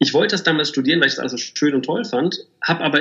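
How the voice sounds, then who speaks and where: The man's pitch sits fairly high. He speaks at a very fast pace. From Germany, Bielefeld. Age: 30s. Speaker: agency managing director. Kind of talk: interview.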